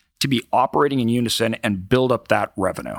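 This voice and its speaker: Very clean recording and silent background, with dry, close sound and no echo, for a man with an unremarkable speaking voice, ordinary pitch variation and a fairly quick pace. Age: 30s. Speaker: entrepreneur and investor. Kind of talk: interview. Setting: live event venue.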